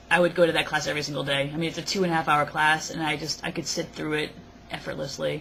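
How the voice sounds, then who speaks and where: Very fast speech with fairly even intonation. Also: woman. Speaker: vlogger. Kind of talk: casual vlog. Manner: halting, many fillers.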